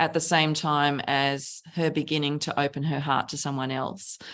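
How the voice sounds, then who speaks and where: A woman with an Australian accent speaks at a very deep, low pitch and a moderate pace. The recording is very clean, with a silent background. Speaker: novelist. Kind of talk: interview conversation.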